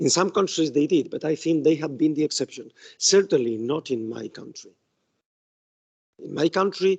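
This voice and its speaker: With lively intonation and a fairly quick pace, a man speaks at a fairly high pitch in a dry, close sound with no echo. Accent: Spanish. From Spain. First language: Spanish. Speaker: law professor. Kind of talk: academic talk. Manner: halting.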